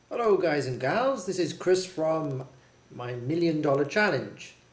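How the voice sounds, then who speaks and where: Over noticeable background noise and audible room echo, a fairly high-pitched man speaks at a moderate pace with lively intonation. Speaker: online shop owner, video blogger. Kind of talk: screen-share tutorial.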